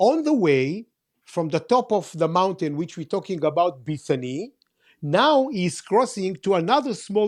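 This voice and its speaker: A man with an Israeli accent speaks at a high pitch with very wide pitch swings. His pace is fairly slow, and the background is quiet. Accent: Israeli (Hebrew-accented English). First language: Hebrew. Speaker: tour guide. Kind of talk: casual discussion, explaining bible places. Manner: halting, many fillers and repeats.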